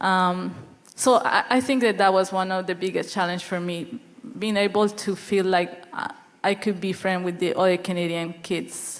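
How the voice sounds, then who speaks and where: This speaker has a Spanish accent and fairly even intonation. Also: woman, medium pitch for a woman, moderate pace. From Colombia. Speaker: student panelist. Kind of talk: panel discussion.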